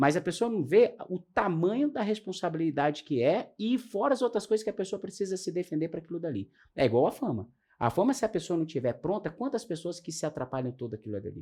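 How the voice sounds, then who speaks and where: Very fast and high-pitched, a man speaks in a dark, mellow tone with very wide pitch swings on a very clean recording with a silent background. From Brazil. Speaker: astrologer and talk show host. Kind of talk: casual interview chat.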